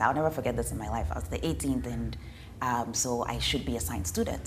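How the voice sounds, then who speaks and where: With audible room echo, a woman with a very deep, low pitch talks at a fairly quick pace, her pitch swinging very widely. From Ghana. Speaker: development specialist. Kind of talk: interview. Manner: conversational, with fillers.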